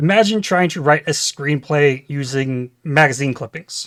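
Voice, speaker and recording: An ordinary speaking voice from a man with an American accent and fairly high pitch, at a fairly slow pace, in a dry, close sound with no echo on a very clean recording with a silent background. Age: 30s. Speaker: gaming YouTuber. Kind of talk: scripted channel introduction.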